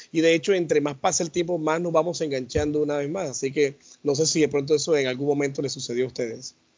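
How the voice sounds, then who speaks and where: Speaking at a very fast pace, a man keeps his intonation fairly even. His pitch is fairly high. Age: 40s. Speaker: podcast co-host. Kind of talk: casual chat.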